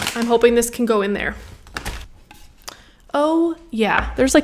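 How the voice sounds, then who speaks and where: A woman talks at an even, moderate speed with typical pitch movement while clearly audible background noise plays. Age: 30s. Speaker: higher education worker. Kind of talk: casual talk to camera.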